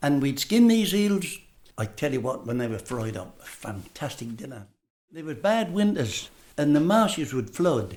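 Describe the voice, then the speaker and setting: Speaking with a Norfolk accent at a moderate pace, a man with a fairly high pitch sounds somewhat breathy, with very wide pitch swings and big swings in loudness. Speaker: interviewee sharing childhood memories. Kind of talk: oral history reminiscence.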